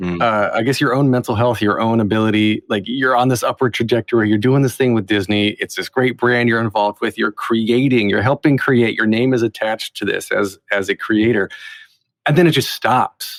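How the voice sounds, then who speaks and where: A normal speaking voice moves at a fairly quick pace with fairly even intonation. The sound is dry and close with no echo. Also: man, medium pitch for a man. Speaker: podcast host. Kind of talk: interviewer questions on a podcast.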